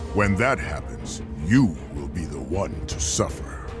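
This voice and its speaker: A man speaks at a fairly slow pace in a cartoonish character voice, with loud music playing in the background. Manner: calm, authoritative.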